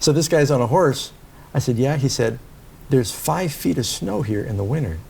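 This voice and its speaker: The speaker sounds somewhat breathy, with lively intonation and a moderate pace. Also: man, medium pitch for a man. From New York City. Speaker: pastor. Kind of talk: interview.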